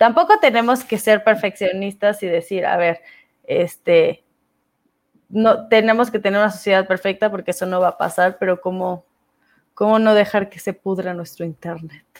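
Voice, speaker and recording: Medium pitch, ordinary pitch variation and big swings in loudness from a woman talking at a moderate pace. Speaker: podcast host and speaker. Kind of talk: casual chat.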